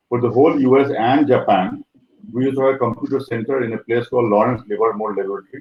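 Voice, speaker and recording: Very fast speech from a man with an Indian accent, medium pitch and fairly even intonation. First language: Maithili. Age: 60s. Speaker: professor. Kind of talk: life story interview. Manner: hesitant, many fillers.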